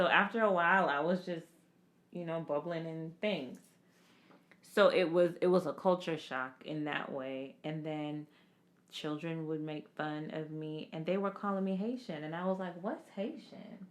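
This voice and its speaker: A woman talks at a moderate pace with a fairly low pitch and a relaxed tone. Her pitch varies in an ordinary way. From Jamaica, moved to Florida at age nine. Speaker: podcast co-host, healthcare professional. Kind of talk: casual chat. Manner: relaxed, conversational.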